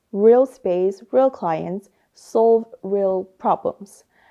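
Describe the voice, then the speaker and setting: At a fairly slow pace, the woman speaks at a medium pitch. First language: not English. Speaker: language learner, interior design student. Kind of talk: interview answers, spontaneous speech. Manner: halting, many fillers.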